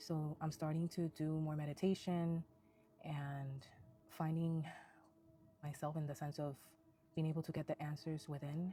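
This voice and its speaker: A woman with a non-native accent speaks quietly at a moderate pace, in a very deep, low pitch. Her intonation is fairly even, with music in the background. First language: Spanish. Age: 20s. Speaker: hairstylist and spiritual vlogger. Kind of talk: casual personal vlog monologue. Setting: outdoors in nature. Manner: quiet, low; hesitant, unprepared.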